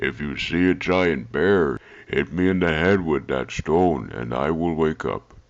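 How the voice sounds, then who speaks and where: In a cartoonish character voice, a man speaks at a fairly slow pace with a very deep, low pitch. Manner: unbothered, amused.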